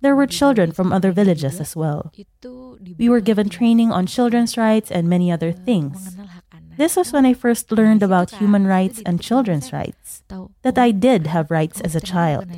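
Speaking at a moderate pace, the voice has a dark, mellow tone and lively intonation. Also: woman, medium pitch for a woman. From Central Java, Indonesia. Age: 20s. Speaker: NGO program assistant. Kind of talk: interview narrative.

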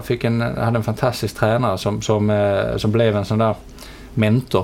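A man's fairly low voice comes through with noticeable noise in the background. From southern Sweden (Helsingborg, Skåne). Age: 40s. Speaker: media company chief executive. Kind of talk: interview. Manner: halting, many fillers and repetitions.

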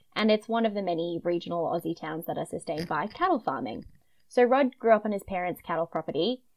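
A woman talks in a broad Queensland accent. Her pitch is fairly low and her pace very fast. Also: lively intonation. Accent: Australian, broad Queensland. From Queensland, Australia. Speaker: podcast host, true crime storyteller. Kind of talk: casual chat with narrated case retelling.

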